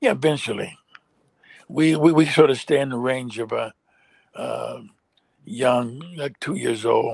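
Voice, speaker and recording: Male voice with a dry sound, no echo, and a quiet background. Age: old. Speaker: animator and children's media founder; guest. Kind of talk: interview. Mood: earnest, somewhat frustrated. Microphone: video call.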